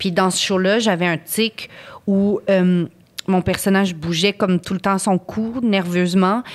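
With flat, monotone intonation, this woman holds her voice at a middle pitch. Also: quiet background. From Ottawa, Canada; Canada. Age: 30s. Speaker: actress. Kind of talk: casual chat. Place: studio. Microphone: studio mic.

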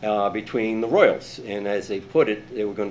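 A man speaks with a fairly low pitch. His pitch variation is ordinary, and the room echo is audible. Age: 70s. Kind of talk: public comment. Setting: city council meeting. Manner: halting.

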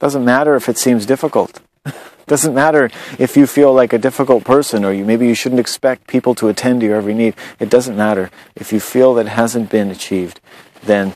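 Speaking at a fairly quick pace with ordinary pitch variation, a man is heard in a dry sound with no echo. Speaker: spiritual blogger. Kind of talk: reflective monologue. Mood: calm, earnest. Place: garden. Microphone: phone near.

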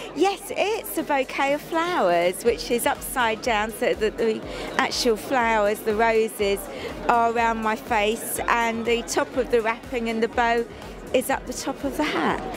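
A woman at a fairly slow pace, with ordinary pitch variation and very even loudness, in a dry recording with no echo and clear music in the background. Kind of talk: interview answer. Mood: cheerful, laughing. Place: stadium. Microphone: handheld.

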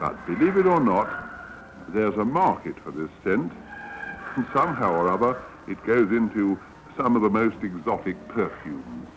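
This man takes his time, talking fairly slowly. Noticeable noise fills the background. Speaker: newsreel narrator. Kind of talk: documentary newsreel narration.

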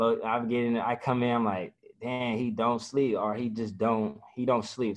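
In front of a quiet background, a man speaks at a moderate pace in a monotone, with flat intonation. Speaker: college football player. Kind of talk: interview. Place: meeting room. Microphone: video call.

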